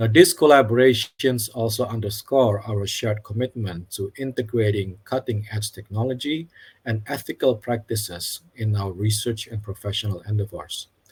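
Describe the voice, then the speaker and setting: A man with a non-native accent talks at a moderate pace with hardly any pauses, using a fairly low pitch, ordinary pitch variation and a somewhat breathy sound. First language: not English. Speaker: academic program representative, webinar moderator. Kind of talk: formal opening remarks for webinar. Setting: online webinar. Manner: formal.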